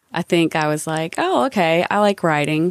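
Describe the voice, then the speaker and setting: With a Southern US accent, a woman talks at a moderate pace in a fairly low pitch, the sound dry and close with no echo. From US South, North Carolina. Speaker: advertising creative executive. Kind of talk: casual interview conversation.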